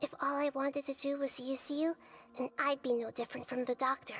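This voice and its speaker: A put-on character voice that sounds female, high-pitched for a woman, with a calm, gentle tone. The intonation is monotone and flat, and the pace is fairly quick. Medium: video game.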